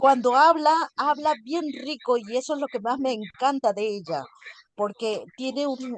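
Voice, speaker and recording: A woman speaks in a high pitch at a fairly slow pace. Her pitch varies in an ordinary way, and the sound is dry and close with no echo. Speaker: student. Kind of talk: class discussion. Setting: video call. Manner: halting.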